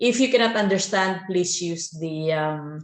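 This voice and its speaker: A woman speaks with a Filipino accent and ordinary pitch variation. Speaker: gaming YouTuber. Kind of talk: video commentary. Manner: hesitant, many fillers.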